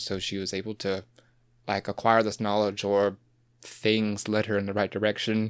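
Over a silent background in a very clean recording, a man with an American accent talks at a moderate pace in an ordinary speaking voice. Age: 20s. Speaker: podcast guest. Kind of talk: casual chat. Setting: podcast recording.

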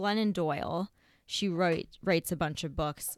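In a plain, everyday voice, a woman with a fairly low pitch speaks at a moderate pace with fairly even intonation, in a very clean recording with a silent background and a dry, close sound with no echo. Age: 30s. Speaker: yoga teacher. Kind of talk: casual chat.

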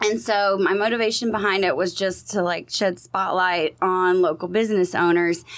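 A woman speaks at a moderate pace in a medium pitch, with ordinary pitch variation, very even loudness and hardly any pauses. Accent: Texan. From Southeast Texas, Beaumont. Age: 30s. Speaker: social media marketer and PR business owner. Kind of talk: casual interview chat.

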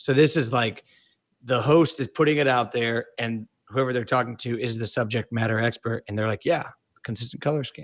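Heard in a dry, close sound with no echo, a man with an ordinary speaking voice and an American accent talks at a fairly quick pace with medium pitch and fairly even intonation. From US Midwest, Kansas City. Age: 30s. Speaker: podcast co-host. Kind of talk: casual chat. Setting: video call.

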